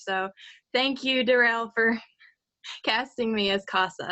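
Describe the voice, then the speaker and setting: A woman talks at a fairly slow pace with a slight Southern US accent. Her pitch is fairly high and her intonation fairly even. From Virginia, US South. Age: 18. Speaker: voice actor. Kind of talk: casual chat. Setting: live stream.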